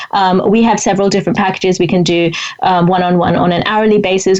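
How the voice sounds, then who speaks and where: Over noticeable background noise, a woman talks at a fairly quick pace with a fairly low pitch. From India. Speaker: author and writing coach. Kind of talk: interview. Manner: fast; animated.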